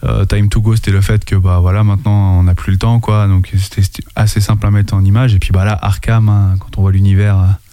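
Over noticeable background noise, a man talks at a fairly quick pace in a fairly low pitch, his intonation flat and monotone. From France, Anjou. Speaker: rapper. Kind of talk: casual chat.

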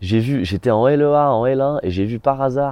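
The speaker is a man. His delivery is fairly slow. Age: 20s. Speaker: drama student. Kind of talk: testimony. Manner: hesitant with fillers.

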